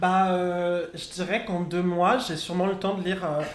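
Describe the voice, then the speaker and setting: Amid noticeable background noise and audible room echo, a man speaks at a high pitch and a moderate pace. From Morocco. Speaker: drag queen. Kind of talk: casual chat. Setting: live event with audience.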